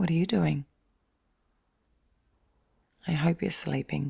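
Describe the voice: A woman speaks with little pitch movement, her voice carrying a husky, rough edge and vocal fry. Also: slightly mellow tone.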